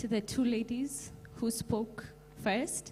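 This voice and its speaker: There is noticeable background noise behind this woman's voice. Her pitch is fairly high and her intonation fairly even. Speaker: YouTuber, audience member. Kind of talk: audience question at event. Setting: event hall with audience, holding mic.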